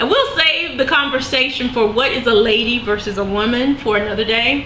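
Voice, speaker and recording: In a Southern US accent, a woman talks at a high pitch amid noticeable background noise and audible room echo. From US South. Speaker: vlogger sharing weight loss surgery experience. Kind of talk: casual video diary. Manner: conversational with frequent fillers.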